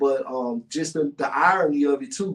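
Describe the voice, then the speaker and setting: A man speaks with a Memphis accent. His pitch sits fairly high. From US South, North Memphis, Tennessee. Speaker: podcast host and guest. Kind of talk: casual interview chat. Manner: halting, many fillers.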